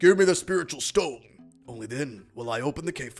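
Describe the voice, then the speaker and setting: Putting on a character voice, a man talks at a fairly quick pace and a fairly high pitch while faint music plays in the background. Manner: dumb, gruff.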